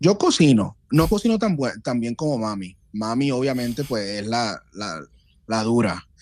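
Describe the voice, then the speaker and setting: In a very clean recording with a silent background, a man at medium pitch speaks fairly slowly with lively intonation. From Puerto Rico (Loíza). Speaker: guest on a podcast. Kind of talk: casual chat. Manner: halting, repeats words.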